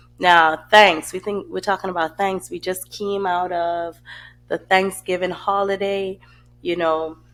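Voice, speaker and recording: With music in the background, a woman at a medium pitch speaks at a fairly slow pace in a monotone, flat intonation. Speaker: podcast host. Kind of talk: casual podcast monologue.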